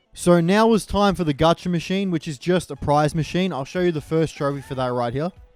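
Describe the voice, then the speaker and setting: Fairly quick speech with hardly any pauses and ordinary pitch variation, over music in the background. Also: man, high pitch for a man. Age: 20s. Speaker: gaming youtuber. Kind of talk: gameplay commentary. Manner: casual.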